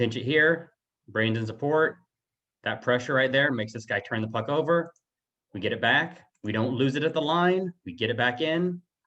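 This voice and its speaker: The voice is a man's, medium in pitch. Its pitch moves in an ordinary way. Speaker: youth hockey coach. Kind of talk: game film breakdown. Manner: fast.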